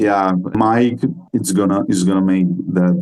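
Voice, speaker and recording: The speaker is a man. He has a non-native accent. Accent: non-native English, self-described poor. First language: Spanish. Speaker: metal band musician. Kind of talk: interview. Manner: halting.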